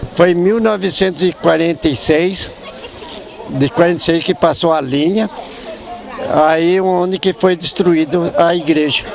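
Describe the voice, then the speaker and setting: A man with a high-pitched voice talks at a fairly slow pace, with long, frequent pauses and ordinary pitch variation. His loudness stays very even while crowd noise runs in the background. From Botucatu area, São Paulo state, Brazil. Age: 70s. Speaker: elderly local resident. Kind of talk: interview.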